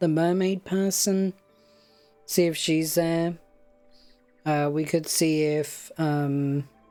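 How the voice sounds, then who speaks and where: Music plays in the background while the speaker talks at a very slow pace in a relaxed, calm tone. Long pauses come often. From United Kingdom. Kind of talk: casual let's play game commentary.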